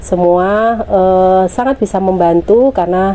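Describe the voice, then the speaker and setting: Against noticeable background noise, a woman's medium-pitched voice shows ordinary pitch variation. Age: 50s. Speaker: village women's group leader. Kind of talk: interview testimony. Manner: hesitant fillers.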